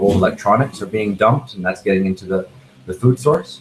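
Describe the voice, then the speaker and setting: A man races along at a very fast pace, his voice somewhat breathy. His pitch is fairly low, with ordinary variation. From Canada, near Toronto. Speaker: neuroimaging researcher. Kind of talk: expert Q&A interview. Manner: halting, many fillers.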